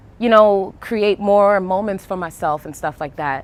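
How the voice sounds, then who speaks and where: A woman with a strong Brooklyn accent talks at a moderate pace with fairly even intonation. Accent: thick Brooklyn. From New York, Brooklyn. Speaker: artist and poet. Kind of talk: casual interview. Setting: outdoors on a rooftop. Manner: casual, hesitant fillers.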